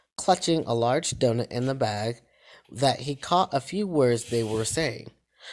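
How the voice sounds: The reading voice is natural, with lively intonation.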